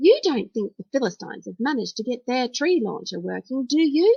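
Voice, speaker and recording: A put-on character voice comes out shaky, with very wide pitch swings. The pace is fairly quick. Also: woman, high pitch for a woman. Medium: read story. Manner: shaky, anxious.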